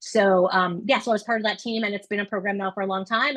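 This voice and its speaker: A woman speaks at a very fast pace and medium pitch. The sound is dry and close, with no echo. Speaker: admissions coach. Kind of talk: webinar presentation.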